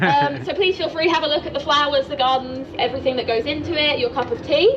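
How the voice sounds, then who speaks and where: Through noticeable background noise, a high-pitched woman with an English accent talks at a fairly quick pace with lively intonation. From England, Norwich (East Anglia). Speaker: tour guide. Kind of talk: guided tour talk. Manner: friendly, chatty.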